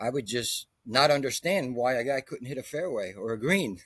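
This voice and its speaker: A plain, everyday voice at a moderate pace. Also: man. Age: 60s. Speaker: golf instructor. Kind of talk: interview.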